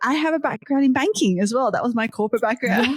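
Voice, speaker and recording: A woman with an Australian accent and a high voice, in a dry, close recording with no echo. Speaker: tech startup founder. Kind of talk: podcast interview. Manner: casual, with frequent fillers.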